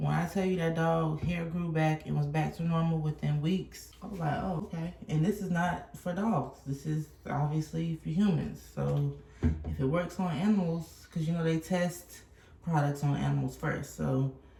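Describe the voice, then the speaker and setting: Noticeable background noise around a woman's moderate-paced speech. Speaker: vlogger. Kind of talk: casual vlog. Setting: at home. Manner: animated.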